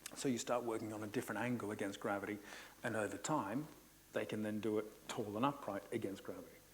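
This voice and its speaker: A man talks at a very fast pace with fairly low pitch and fairly even intonation. Room echo is audible. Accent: Australian. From Australia. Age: 50s. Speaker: Pilates instructor. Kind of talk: conference presentation. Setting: conference hall with audience.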